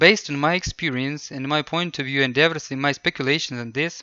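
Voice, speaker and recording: A man with a non-native accent speaks at a fairly high pitch with ordinary pitch variation. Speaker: English tutor. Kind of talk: casual talk to camera.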